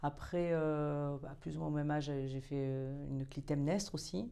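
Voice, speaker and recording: A woman's very deep, low voice with a dark, mellow tone, moderate pace, and fairly even intonation. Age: 60s. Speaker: opera singer. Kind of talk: interview. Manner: hesitant.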